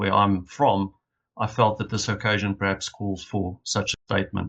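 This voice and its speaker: The voice, in a South African accent, keeps a moderate pace. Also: man. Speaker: leadership initiative representative. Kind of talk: conference opening reflection. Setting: video call from hotel room. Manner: formal.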